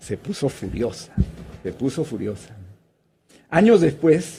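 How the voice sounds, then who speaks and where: At a fairly slow pace, a man talks in a dark, mellow tone. His voice is somewhat breathy, with lively intonation. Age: 60s. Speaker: former education minister. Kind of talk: interview.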